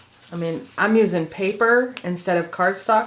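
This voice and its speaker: Noticeable background noise fills the recording. Through it, a woman speaks at a moderate pace. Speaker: craft tutorial creator. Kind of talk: tutorial. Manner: casual, chatty.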